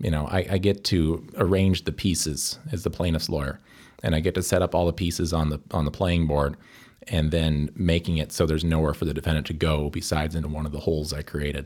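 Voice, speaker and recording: A man with an American accent and a very deep, low pitch talks at a fairly quick pace with fairly even intonation, recorded very cleanly against a silent background. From US Midwest (southern Wisconsin). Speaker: lawyer. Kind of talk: interview.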